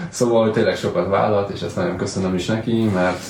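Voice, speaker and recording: A man speaks at a very fast pace with fairly even intonation. Audible room echo and noticeable background noise fill the recording. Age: 30s. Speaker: real estate agent. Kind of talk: casual solo vlog talk.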